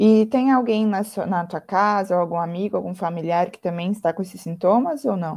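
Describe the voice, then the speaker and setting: A woman with a medium pitch talks at a moderate pace in a plain, everyday voice, with big swings in loudness. The recording is very clean, with a silent background. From Santa Maria, Rio Grande do Sul, Brazil. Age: 20s. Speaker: university student. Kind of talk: role-play medical consultation practice.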